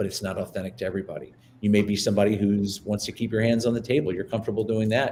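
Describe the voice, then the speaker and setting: Somewhat breathy and fairly low-pitched, a man talks at a very fast pace. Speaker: presentation trainer. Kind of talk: webinar presentation. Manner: animated.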